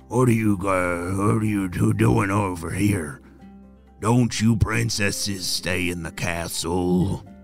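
A raspy put-on character voice from a man with a very deep, low pitch, over clear music in the background. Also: fairly slow pace. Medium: read story. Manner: gruff.

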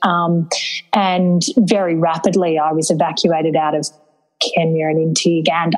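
A woman with an Australian accent, fairly low-pitched and monotone with flat intonation, at a moderate pace over background music. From rural New South Wales, Australia. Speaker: charity founder and CEO. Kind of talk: interview.

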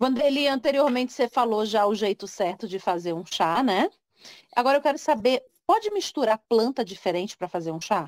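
Using an ordinary speaking voice, a woman talks fairly quickly with a fairly high pitch and lively intonation, in a dry, close sound with no echo. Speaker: podcast host. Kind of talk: interview. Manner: conversational, informal.

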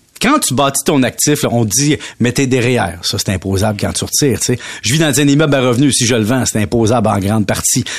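A man is speaking. He has a Quebec accent. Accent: Québécois French. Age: 40s. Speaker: radio economics columnist. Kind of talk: radio chronicle, casual chat with host.

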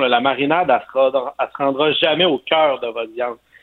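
A man speaks with a Quebec accent in a fairly high voice. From Quebec, Montérégie. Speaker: barbecue columnist. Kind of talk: cooking tips. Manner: enthusiastic.

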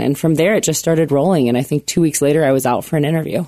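A woman's very deep, low voice, dark and mellow in tone, at a very fast pace. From US Midwest, rural Illinois. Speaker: college basketball coach. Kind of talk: radio interview.

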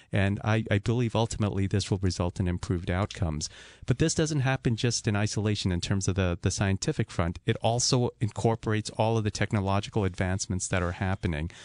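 A fairly low-pitched man at a very fast pace with hardly any pauses, very even loudness and ordinary pitch variation, in a dry, close sound with no echo and a quiet background. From Zambia. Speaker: neurosurgeon. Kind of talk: radio interview. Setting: studio. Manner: halting.

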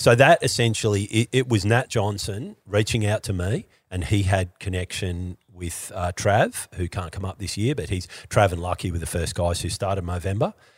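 A man with an Australian accent speaks at a moderate pace, his fairly low voice somewhat breathy with ordinary pitch variation. The recording is very clean with a silent background, and the sound is dry and close with no echo. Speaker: skier and entertainer. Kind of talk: casual chat.

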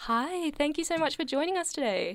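An unremarkable speaking voice at a fairly quick pace, lively in intonation, in a very clean recording with a silent background. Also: woman. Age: young. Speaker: radio host. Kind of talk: radio interview. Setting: radio studio.

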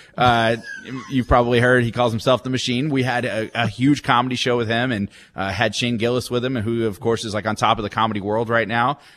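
A man with an American accent talks at a very fast pace, medium pitch, and monotone, flat intonation. Noticeable background noise is present. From Texas, Dallas area. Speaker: minor league baseball team executive. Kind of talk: radio interview.

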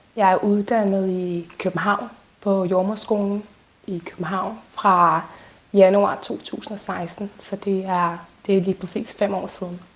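This woman's intonation stays monotone and flat, with noticeable background noise behind her. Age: 30s. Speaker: midwife. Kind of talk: interview testimony.

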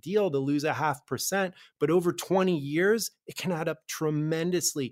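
On a very clean recording with a silent background, a man with an ordinary speaking voice and a fairly high pitch talks at a moderate pace with ordinary pitch variation. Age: 40s. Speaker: financial advisor, radio show host. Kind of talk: financial advice radio talk. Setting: studio.

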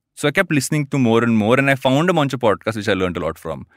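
In an Indian accent, a man talks very fast with very wide pitch swings, recorded dry and close with no echo. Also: very clean recording, silent background. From Andhra Pradesh, India. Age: 30s. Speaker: podcaster and co-founder. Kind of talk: casual interview. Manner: fast talker.

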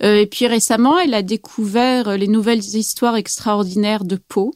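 The sound is dry and close with no echo, as speech moves at a fairly slow pace with ordinary pitch variation. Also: woman. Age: 40s. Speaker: novelist and psychoanalyst. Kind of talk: interview. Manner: hesitant with many fillers.

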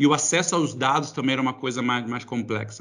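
This man has an ordinary speaking voice, medium in pitch with ordinary pitch variation, talking at a fairly quick pace over a quiet background. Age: 40s. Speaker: tech company executive. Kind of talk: interview. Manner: casual.

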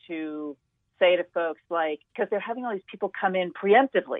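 This woman has a plain, everyday voice, pitched in the medium range with ordinary pitch variation, and speaks at a moderate pace. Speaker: health news journalist. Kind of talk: radio interview. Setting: remote call over internet.

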